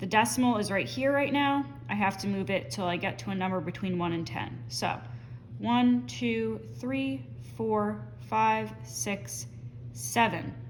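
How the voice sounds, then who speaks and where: In a room with audible echo, a woman speaks at a fairly slow pace in a very deep, low, somewhat breathy voice with very wide pitch swings. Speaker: math teacher. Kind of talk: tutorial. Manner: casual with fillers.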